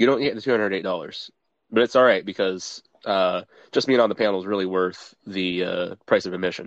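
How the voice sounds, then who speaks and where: This man has an ordinary speaking voice at a fairly low pitch. He talks at a fairly quick pace with fairly even intonation. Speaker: panelist. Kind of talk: casual panel banter. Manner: joking.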